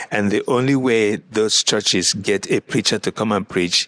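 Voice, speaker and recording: A man with an African accent speaks at a fairly low pitch, his tone bright and sharp. His pitch varies in an ordinary way, and the sound is dry and close with no echo. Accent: African accent, noticeable. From Nigeria. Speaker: pastor. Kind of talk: interview.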